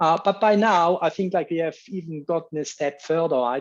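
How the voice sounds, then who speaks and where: A man with a Swiss accent, moderate pace and fairly even intonation, over a quiet background. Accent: non-American, Swiss. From Switzerland. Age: 50s. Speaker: bee researcher giving a talk. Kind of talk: lecture. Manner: hesitant, many fillers.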